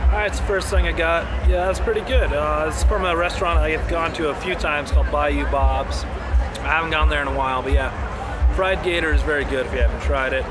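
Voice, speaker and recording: A man at a very fast pace, music in the background. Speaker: festival vlogger. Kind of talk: casual vlog chat. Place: street. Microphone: phone near.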